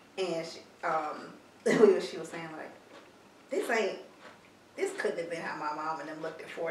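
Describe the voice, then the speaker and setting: A woman talks at medium speed, with the room's echo and background noise both clearly present. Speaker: podcast co-host. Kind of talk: casual chat.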